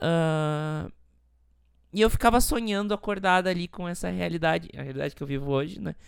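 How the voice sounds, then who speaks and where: This woman talks at a fairly quick pace in a very deep, low voice, with big swings in loudness. The recording is very clean and the background silent. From Rio Grande do Sul, Brazil. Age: 20s. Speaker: podcast host. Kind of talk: personal testimony monologue.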